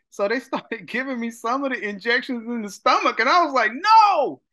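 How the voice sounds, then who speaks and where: A man's raised, projected voice with a bright, sharp tone, very wide pitch swings and a moderate pace against a quiet background. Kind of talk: interview answer. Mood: upbeat, often laughing. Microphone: video call.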